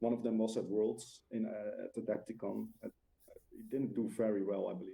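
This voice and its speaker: With a Dutch accent, a man speaks at a moderate pace. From Netherlands. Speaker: discord admin, tabletop gamer. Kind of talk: casual chat. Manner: halting, many filler uhs.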